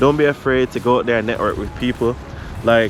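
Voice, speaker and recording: Amid noticeable background noise, a man with a Jamaican accent talks at a fairly quick pace. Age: 30s. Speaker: photographer, vlogger. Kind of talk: vlog, casual talk to camera.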